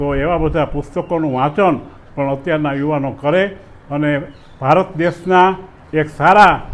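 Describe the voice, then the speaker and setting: Noticeable background noise runs under this recording. A man talks at a fairly high pitch with fairly even intonation. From Saurashtra, Gujarat. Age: 70s. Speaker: folk storyteller and ayurvedic doctor. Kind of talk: interview.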